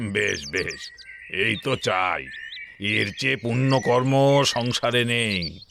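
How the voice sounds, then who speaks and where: A gruff, put-on character voice speaks at a very slow pace. The loudness stays very even. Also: man, medium pitch for a man. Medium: audio drama. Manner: gruff, boastful.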